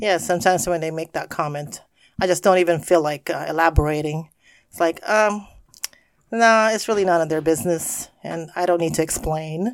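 On a very clean recording with a silent background, a woman with a plain, everyday voice speaks at a moderate pace, fairly low in pitch, with ordinary pitch variation. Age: 50s. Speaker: podcast host's mother, guest. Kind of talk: casual chat.

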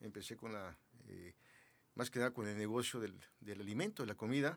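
A man with an unremarkable speaking voice, at a fairly quick pace with ordinary pitch variation. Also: very clean recording, silent background. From Mexico City. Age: 60s. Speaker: businessman, former public security committee head. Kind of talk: interview.

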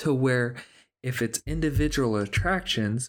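A man with a normal speaking voice at a fairly slow pace, medium pitch and ordinary pitch variation, in a very clean, silent-background recording with a dry, close sound and no echo. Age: 30s. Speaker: podcast host. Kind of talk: casual chat.

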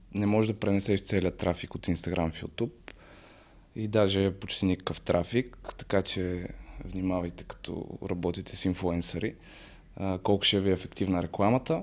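A man's very deep, low voice at a moderate pace, with fairly even intonation on a very clean recording with a silent background. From Bulgaria, Sofia. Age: 20s. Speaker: social media content creator and psychology student. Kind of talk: casual podcast interview.

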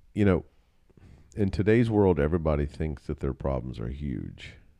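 A man's very deep, low voice has a dark, mellow tone. He speaks at a fairly slow pace on a very clean recording with a silent background. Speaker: podcast co-host, husband and father. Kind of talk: casual family chat.

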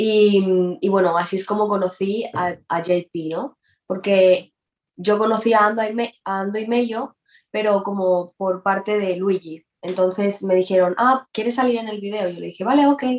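A woman talks fairly slowly at a medium pitch with fairly even intonation. It is an ordinary speaking voice. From Spain, Valencia. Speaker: reggaeton singer. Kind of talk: casual interview.

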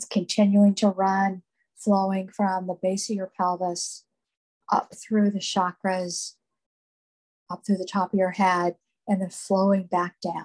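Dry and close with no echo, a woman at medium pitch speaks in a somewhat breathy, monotone voice at a fairly slow pace with long, frequent pauses. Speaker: meditation guide. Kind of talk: guided meditation. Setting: live group meditation, recorded.

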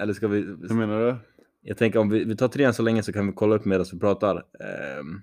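Against a quiet background, the speech goes at a fairly quick pace with fairly even intonation. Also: man, fairly low pitch for a man. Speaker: podcast co-host. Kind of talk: casual chat.

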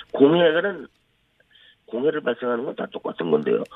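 The pitch swings very widely. It belongs to a man. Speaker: energy expert, former professor. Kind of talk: phone interview. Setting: phone call.

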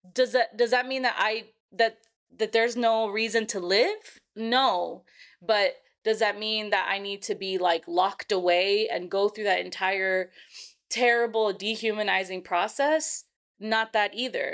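A woman's ordinary speaking voice with an American accent, fairly high in pitch and fairly slow in pace, in a very clean recording with a silent background. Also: ordinary pitch variation. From California. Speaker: podcast host and school social worker. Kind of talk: casual chat; reading aloud.

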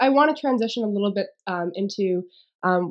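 On a very clean recording with a silent background, a woman with a plain, everyday voice speaks at a medium pitch and a moderate pace. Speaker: podcast host. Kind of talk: podcast interview, casual conversation. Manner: warm, friendly.

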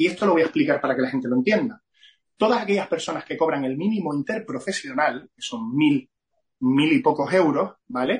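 Fairly high for a man, this voice moves at a fairly quick pace. Its pitch swings very widely. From Canary Islands (Gran Canaria). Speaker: entrepreneur and business association president. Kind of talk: interview.

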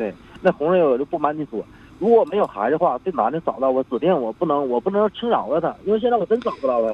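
The pitch swings very widely. Delivery comes at a very fast pace. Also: man, fairly high pitch for a man. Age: 40s. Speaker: caller. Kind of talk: phone-in confession.

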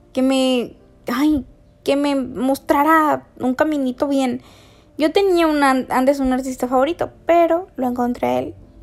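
Over background music, a woman talks at a fairly slow pace in a high voice with fairly even intonation. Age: 20s. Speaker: podcast host. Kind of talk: casual monologue.

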